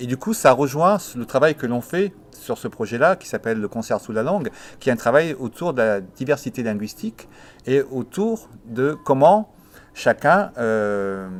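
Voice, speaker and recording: At a fairly slow pace and with an Italian accent, the voice moves through very wide pitch swings and big swings in loudness. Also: man, medium pitch for a man. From Italy, moved to France at 7. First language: Italian (speaking French). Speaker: musician and project coordinator. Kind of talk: documentary interview. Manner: hesitant, many fillers.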